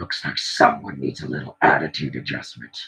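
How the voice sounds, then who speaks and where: A man puts on a character voice and speaks at a fairly quick pace. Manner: angry, menacing.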